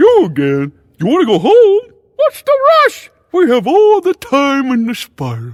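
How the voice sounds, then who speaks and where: In a put-on character voice, a man talks at a moderate pace and an extremely high pitch. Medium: video game. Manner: airy, theatrical.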